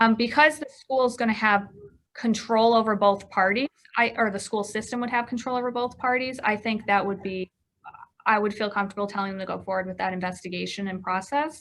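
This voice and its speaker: At a fairly quick pace, a woman talks in a fairly high voice with ordinary pitch variation. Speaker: attorney. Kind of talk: lecture. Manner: fast.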